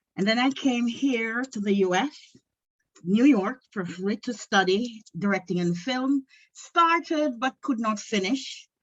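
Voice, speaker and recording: A woman with a Jamaican accent speaks at a fairly slow pace, her fairly high voice full of lively intonation. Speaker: aspiring filmmaker and screenwriter. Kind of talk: self-introduction at a meeting.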